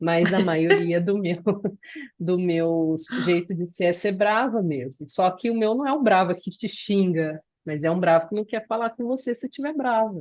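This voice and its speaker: A woman talks at medium pitch with lively intonation. Her pace is fairly slow. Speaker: podcast co-host. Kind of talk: casual chat.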